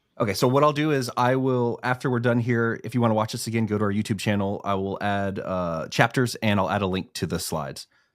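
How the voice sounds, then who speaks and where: Hardly pausing at all, a man talks. His pace is very fast. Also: medium pitch for a man, ordinary pitch variation. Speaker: livestream host. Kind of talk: live webinar Q&A.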